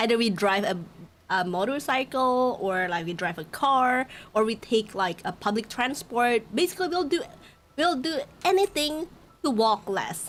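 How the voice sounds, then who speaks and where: A high-pitched woman with an Indonesian accent and very wide pitch swings. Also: moderate pace. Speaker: VTuber streamer. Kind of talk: casual live-stream chat.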